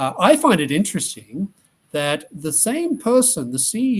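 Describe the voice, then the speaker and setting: In an Australian accent, a man talks at a moderate pace, his pitch swinging very widely. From Australia (Tasmania). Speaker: economist. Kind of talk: interview answers.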